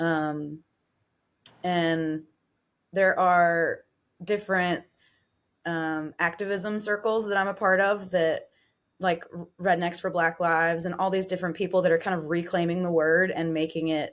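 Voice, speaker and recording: A woman's fairly low voice with an American accent, monotone and flat, broken by long, frequent pauses, on a very clean recording with a silent background. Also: fairly slow pace. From southwestern Virginia, Appalachia. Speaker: singer-songwriter. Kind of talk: casual chat.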